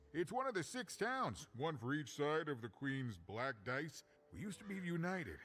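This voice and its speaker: Clear background noise sits under a put-on character voice. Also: man. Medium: video game. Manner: chatty, joking, theatrical.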